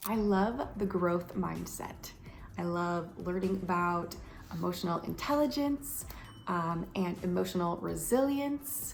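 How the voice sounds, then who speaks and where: With an American accent and a medium pitch, a woman speaks at a fairly slow pace amid audible room echo. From US, Romanian immigrant family. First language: Romanian. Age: 30s. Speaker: lifestyle vlogger. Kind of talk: casual vlog monologue. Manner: animated.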